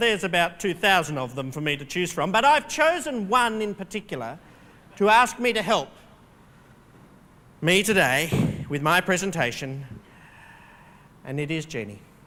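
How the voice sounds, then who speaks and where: High-pitched, raised and projected, the bright, sharp voice of a man with an Australian accent, broken by long, frequent pauses. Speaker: keynote speaker. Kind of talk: keynote speech. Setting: stage with audience. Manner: humorous, interactive with audience.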